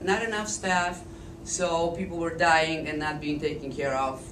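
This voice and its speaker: The pace is fairly quick, with a Polish accent and ordinary pitch variation. Room echo is audible and background noise noticeable. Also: woman. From eastern Poland. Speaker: speaker at a political forum. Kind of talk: public talk.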